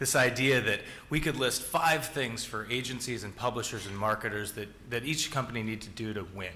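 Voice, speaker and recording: With audible room echo and noticeable background noise, a man in an American accent talks at a fairly quick pace and medium pitch. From US Pacific Northwest, Seattle. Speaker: tech executive, keynote speaker. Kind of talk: conference keynote. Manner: conversational with many fillers.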